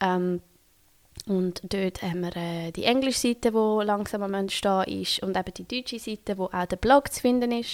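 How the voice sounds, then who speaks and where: A woman with a Swiss German accent speaks at a moderate pace and medium pitch. The recording is very clean, with a silent background. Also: ordinary pitch variation. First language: Swiss German (speaking German). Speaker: podcast host and doula. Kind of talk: solo podcast monologue. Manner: hesitant, many fillers.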